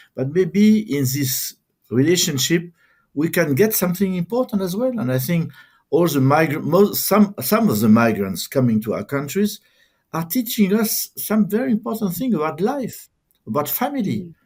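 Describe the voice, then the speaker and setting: In a very clean recording with a silent background, a man with a high pitch speaks at a moderate pace, his pitch swinging very widely. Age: 70s. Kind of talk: interview conversation. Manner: halting, many repetitions.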